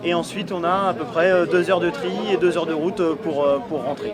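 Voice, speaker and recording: With audible room echo and noticeable background noise, a man talks very fast in a high voice with ordinary pitch variation. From Brittany, bay of Saint-Brieuc. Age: 30s. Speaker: fisherman, former soldier. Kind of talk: interview testimony. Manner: hesitant, many fillers.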